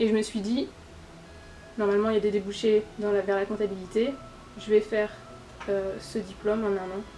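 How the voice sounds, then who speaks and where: Music plays in the background. A woman speaks in a flat, monotone way. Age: 30s. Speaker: payroll specialist, former student. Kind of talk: interview. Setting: workplace. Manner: hesitant, many filler sounds.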